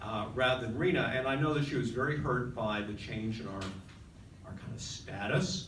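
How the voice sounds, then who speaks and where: A man talks fairly quickly, with audible room echo and noticeable background noise around his voice. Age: 60s. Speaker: journalist. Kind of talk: personal storytelling. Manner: halting, many fillers.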